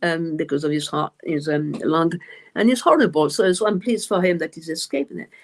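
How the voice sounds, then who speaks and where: Her voice sits fairly low for a woman, carrying a non-native accent and ordinary pitch variation. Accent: noticeable foreign accent, self-described. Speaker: medium and author. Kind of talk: live stream interview. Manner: halting, many fillers and repeats.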